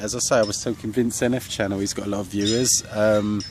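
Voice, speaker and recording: Talking at a fairly quick pace, a man uses an English accent. His pitch is fairly low, and his intonation is fairly even. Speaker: vlogger. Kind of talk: casual vlog rant. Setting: outdoors in a park. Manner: monotone; hesitant, many fillers.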